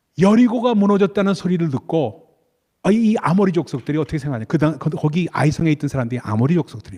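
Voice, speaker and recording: Talking at a very fast pace, a man with a fairly high, dark, mellow voice makes very wide pitch swings, the sound dry and close with no echo. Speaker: pastor. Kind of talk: sermon. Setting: church.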